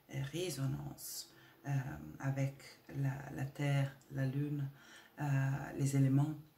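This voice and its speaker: Somewhat breathy and very slow, a woman speaks in a very deep, low pitch with a dark, mellow tone. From Italy. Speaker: spiritual women's coach. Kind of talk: spiritual talk to camera. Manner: hesitant, many filler sounds.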